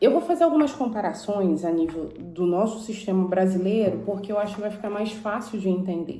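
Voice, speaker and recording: A woman with a Rio accent, medium in pitch, fairly quick with hardly any pauses and lively intonation. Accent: Brazilian Portuguese, Carioca. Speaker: YouTuber. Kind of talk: informational vlog. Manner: casual, conversational.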